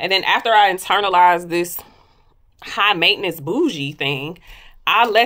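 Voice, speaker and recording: Against a quiet background, a woman sounds animated. Her tone is bright and sharp. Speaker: lifestyle vlogger. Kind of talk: casual monologue. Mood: candid, reflective. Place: home room. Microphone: phone near.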